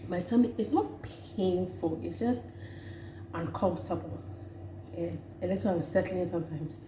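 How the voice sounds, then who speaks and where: A woman's fairly low voice with lively intonation, audible room echo and noticeable background noise. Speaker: vlogger. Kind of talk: casual vlog talk.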